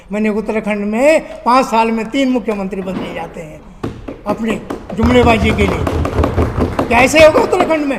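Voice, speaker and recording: A man high in pitch, with ordinary pitch variation and big swings in loudness, amid noticeable background noise and audible room echo. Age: 70s. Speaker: candidate and social activist. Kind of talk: interview. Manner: animated.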